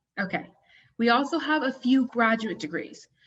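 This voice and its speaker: A woman speaks at a fairly quick pace with a fairly high pitch. Her voice is somewhat breathy, and her intonation is lively. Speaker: university admissions representative. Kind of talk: presentation. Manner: fast.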